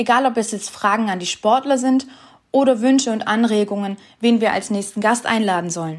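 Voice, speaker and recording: With an ordinary speaking voice, a woman talks at a moderate pace in a fairly high pitch, with ordinary pitch variation. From Stuttgart region, Swabia, Germany. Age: 20s. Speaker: podcast host. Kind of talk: scripted introduction.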